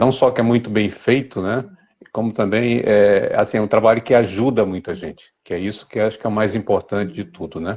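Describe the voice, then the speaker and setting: Fairly low in pitch, a man with a normal speaking voice talks at a fairly quick pace with ordinary pitch variation. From Brazil, Niterói (Rio de Janeiro), born in Recife. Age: 60s. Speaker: writer and advertising copywriter, cancer survivor. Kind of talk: interview.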